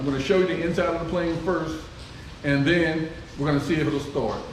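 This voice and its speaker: Noticeable background noise and audible room echo surround a man with a fairly high pitch. His tone is relaxed, his intonation fairly even, and his pace moderate. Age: 60s. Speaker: private pilot and aircraft owner. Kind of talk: casual vlog narration. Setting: outdoors by the plane in the rain. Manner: relaxed, with filler words.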